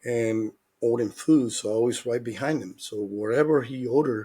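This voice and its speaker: Speaking at a moderate pace with a Dominican accent, a man uses a medium pitch, fairly even intonation and a dark, mellow tone. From Dominican Republic. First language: Spanish. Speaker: former baseball player and hitting coach. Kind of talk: interview.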